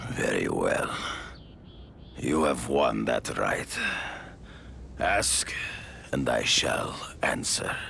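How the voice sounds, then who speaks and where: A whispered, put-on character voice at a very slow pace, with long, frequent pauses, very even loudness and clear background noise. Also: man. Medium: video game. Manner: formal, grave.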